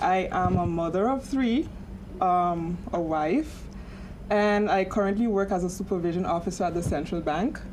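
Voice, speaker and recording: A woman speaks at a moderate pace with ordinary pitch variation and very even loudness. Noticeable background noise and audible room echo fill the recording. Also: medium pitch for a woman. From St. Martin, Caribbean. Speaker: panelist, bank supervision officer. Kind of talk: panel discussion. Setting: studio with live audience. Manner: halting, many fillers.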